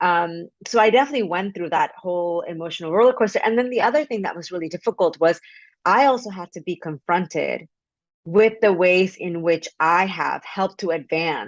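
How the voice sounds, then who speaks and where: In a Spanish accent, the speaker talks at a fairly quick pace with big swings in loudness and ordinary pitch variation, the sound dry and close with no echo against a quiet background. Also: woman, medium pitch for a woman. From Mexico. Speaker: author. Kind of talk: interview. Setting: video call.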